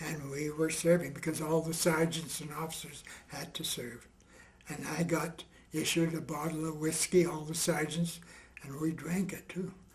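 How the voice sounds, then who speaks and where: Monotone, flat intonation at a moderate pace, with big swings in loudness, audible room echo and noticeable background noise. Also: man. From western Canada, rural Alberta. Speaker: war veteran. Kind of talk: oral history interview.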